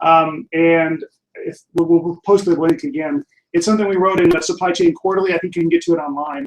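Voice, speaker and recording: A man with a high pitch, ordinary pitch variation and a fairly quick pace. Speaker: online course instructor. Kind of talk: live Q&A wrap-up. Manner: fast.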